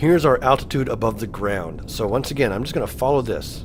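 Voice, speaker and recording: A man talks at a fairly quick pace with medium pitch and ordinary pitch variation. Noticeable background noise can be heard. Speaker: gaming video creator. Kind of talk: let's play gameplay commentary. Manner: animated.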